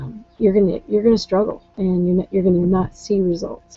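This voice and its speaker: Music plays behind a woman speaking at a medium pitch. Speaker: online business coach. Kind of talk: live webinar talk. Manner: hesitant, many fillers.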